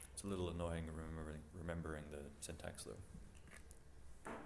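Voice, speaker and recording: A man with a very deep, low pitch and fairly even intonation speaks through noticeable background noise and audible room echo. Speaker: programming instructor. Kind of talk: lecture.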